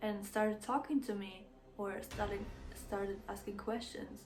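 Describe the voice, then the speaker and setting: Someone with a non-native accent speaks at a very slow pace against noticeable background noise. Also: woman. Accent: non-native English speaker. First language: not English. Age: 20s. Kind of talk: casual storytime to camera.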